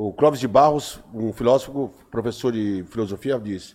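A man talks with ordinary pitch variation. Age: 50s. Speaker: poet. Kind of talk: casual chat.

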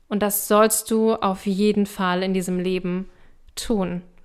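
Very slow, monotone, flat speech from a woman at medium pitch, on a very clean recording with a silent background. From eastern Germany, small town. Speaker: spiritual coach and podcast host. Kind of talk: solo podcast teaching.

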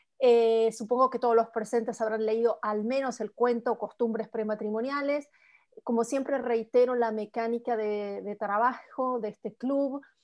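A woman's fairly high voice at a moderate pace, with fairly even intonation against a quiet background. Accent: Argentine. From Argentina. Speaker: writer and book club moderator. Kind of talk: book club conversation.

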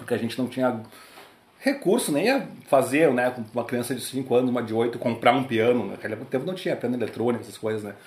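Speaking very fast at a medium pitch, a man uses ordinary pitch variation while his loudness swings widely. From Porto Alegre, southern Brazil. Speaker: tap dancer and musician. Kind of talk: casual interview. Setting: host's apartment.

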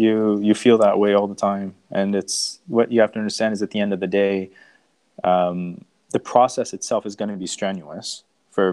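A man speaks with a Canadian accent. His voice is fairly low in pitch, with a dark, mellow tone. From Canada (Toronto area), born in Iran. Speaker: startup founder and engineer. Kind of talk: interview.

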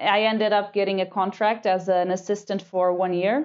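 A woman with a Portuguese accent talks at a moderate pace and a medium pitch. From Portugal, Lisbon. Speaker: PhD student, marine microbiologist. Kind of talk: interview conversation. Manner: halting.

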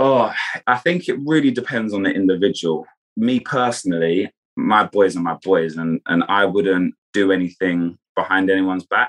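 Moderate pace and ordinary pitch variation, in a southern English accent. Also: man, fairly low pitch for a man. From Kent, England. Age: 20s. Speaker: reality TV contestant and former footballer. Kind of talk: casual interview chat.

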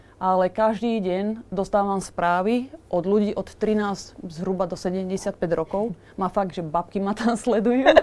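A woman talks at a fairly slow pace in an unremarkable speaking voice. Her pitch is medium, with ordinary pitch variation. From Slovakia. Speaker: tattoo artist. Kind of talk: casual chat.

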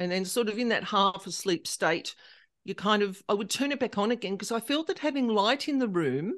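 A woman speaks at a moderate pace with an Australian accent and a fairly high pitch. Her intonation is lively, and the background is quiet. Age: 50s. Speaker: paranormal specialist. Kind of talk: interview.

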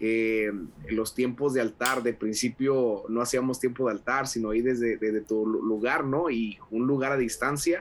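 A man with an ordinary speaking voice, medium in pitch, at a fairly slow pace, with hardly any pauses, fairly even intonation and very even loudness. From Mexico, Monterrey (Nuevo León). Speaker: pastor and evangelist. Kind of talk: casual interview.

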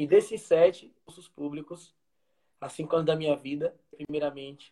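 This man has a fairly high pitch and a dark, mellow tone. He talks at a moderate pace. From Brazil, interior of Bahia (Feira de Santana). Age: 20s. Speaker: street vendor who passed the military police exam. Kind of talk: live stream interview, personal testimony.

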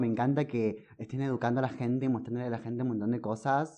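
A man's medium-pitched, ordinary speaking voice, fairly quick in pace, over a quiet background. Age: 20s. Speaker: music fan guest. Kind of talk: casual chat.

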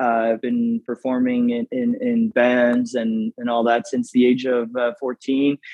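The speaker talks at a fairly slow pace in a Canadian accent. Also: man. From Canada, Moncton, New Brunswick. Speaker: singer and musical theatre performer. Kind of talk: interview. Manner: halting, many fillers.

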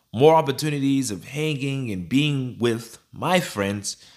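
A man's medium-pitched, ordinary speaking voice on a very clean recording with a silent background. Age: 20s. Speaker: podcast host. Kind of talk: solo podcast monologue.

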